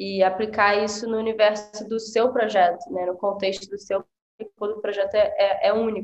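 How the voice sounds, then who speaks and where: A woman speaks with a plain, everyday voice at a medium pitch. Her pace is moderate and her intonation fairly even. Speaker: design teacher. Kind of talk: casual chat.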